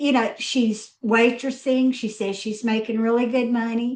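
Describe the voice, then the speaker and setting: A woman with a Southern US accent and a fairly high voice. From US South, Mississippi. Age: 60s. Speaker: business strategist. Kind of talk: roundtable conversation.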